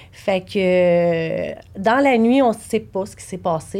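A woman talks at a medium pitch. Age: 40s. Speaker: bereaved mother. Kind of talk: personal testimony. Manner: halting.

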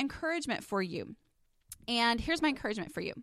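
With a slight Texan accent, a woman speaks in a fairly high pitch and a bright, sharp tone, her pitch swinging very widely, on a very clean recording with a silent background. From Texas. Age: 30s. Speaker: podcast host and blogger. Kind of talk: solo podcast monologue, casual and personal. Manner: casual, chatty, warm.

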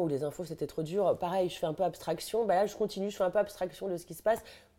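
Speaking at a very fast pace, the voice comes through on a very clean recording with a silent background. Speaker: journalist and humorist. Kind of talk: casual chat.

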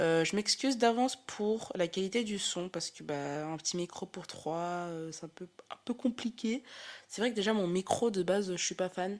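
A woman speaks at a moderate pace in a medium pitch, her animated delivery showing big swings in loudness and ordinary pitch variation, on a very clean recording with a silent background. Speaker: podcast host. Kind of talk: casual chat. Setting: recorded with friends on Friday evening.

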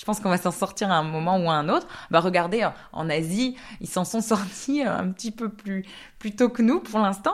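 A woman's medium-pitched voice at a moderate pace, with ordinary pitch variation, on a very clean recording with a silent background. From France, Alsace. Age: 30s. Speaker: epidemiologist. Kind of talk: interview. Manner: halting, many fillers and repetitions.

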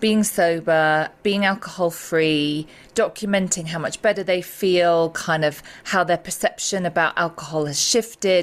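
The pace is fairly slow, with ordinary pitch variation and an English accent. The recording is very clean, with a silent background. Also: woman. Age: 40s. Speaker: psychotherapist and sobriety coach. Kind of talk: interview.

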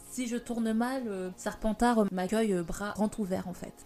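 At a very slow pace, a woman speaks at a medium pitch with ordinary variation. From Paris, France. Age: 20s. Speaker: podcast host. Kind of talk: casual monologue.

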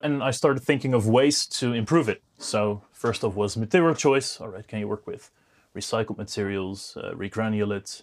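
Recorded very cleanly against a silent background, a man speaks at a medium pitch and moderate pace with ordinary pitch variation and big swings in loudness. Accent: Dutch. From Netherlands. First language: Dutch. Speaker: business founder. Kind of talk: interview. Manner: halting, many fillers.

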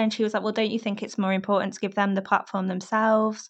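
Monotone, flat intonation over a quiet background. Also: woman. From northern England, Warrington. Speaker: sex and relationships journalist. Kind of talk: casual chat.

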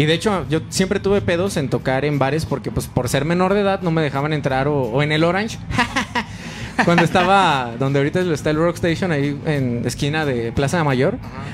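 With music in the background, a man's fairly high-pitched voice moves at a fairly quick pace with ordinary pitch variation. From Mexico, León, Guanajuato. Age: 20s. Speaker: rock band vocalist. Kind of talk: casual chat.

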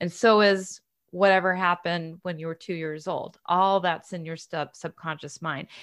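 Over a silent background in a very clean recording, a woman with an unremarkable speaking voice talks at a moderate pace and fairly low pitch with fairly even intonation. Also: big swings in loudness. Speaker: hypnotherapist and author. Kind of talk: casual interview chat.

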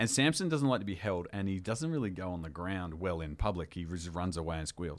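The speaker has an Australian accent and a fairly quick pace. Pitch varies in an ordinary way. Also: man, very deep, low pitch for a man. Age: 40s. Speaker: reality TV contestant. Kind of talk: casual chat.

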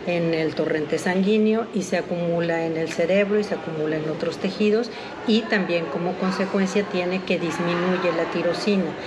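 With audible room echo and noticeable background noise, a woman talks at a medium pitch. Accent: Mexican. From Mexico City. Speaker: pediatrician and metabolic disease expert. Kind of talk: expert interview. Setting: recorded at a conference.

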